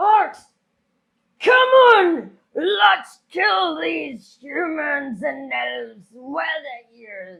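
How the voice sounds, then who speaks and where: A woman shouts and bellows in a put-on character voice with a high pitch. Her pace is very slow. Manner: bellowing.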